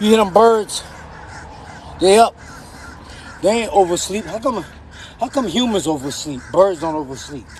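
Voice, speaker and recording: A man's high, animated voice with lively intonation, a moderate pace, long, frequent pauses and noticeable background noise. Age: 50s. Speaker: poet and vlogger. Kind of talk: casual vlog monologue.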